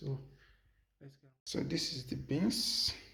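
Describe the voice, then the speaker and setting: A man talks at a fairly slow pace in a medium pitch, his voice somewhat breathy. The room echo is audible. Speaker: vlogger. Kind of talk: casual cooking vlog.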